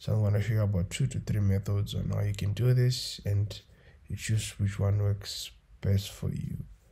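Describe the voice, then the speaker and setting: Moderately paced speech from a man, fairly low and somewhat breathy, with a dark, mellow tone and fairly even intonation. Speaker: photo editing tutor. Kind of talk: tutorial.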